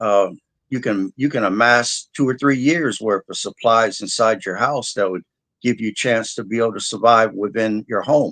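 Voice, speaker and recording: A man with a plain, everyday voice talks at a moderate pace with a medium pitch and ordinary pitch variation, the sound dry and close with no echo over a quiet background. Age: 60s. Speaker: disaster preparedness specialist. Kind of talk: interview.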